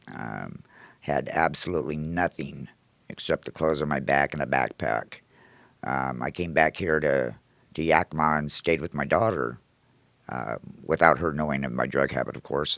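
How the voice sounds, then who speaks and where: A man's very deep, low voice with vocal fry, moderate pace, ordinary pitch variation and long, frequent pauses, in a dry, close sound with no echo. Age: 60s. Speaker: recovery house manager and Marine veteran. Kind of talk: personal testimony. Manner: hesitant, many fillers.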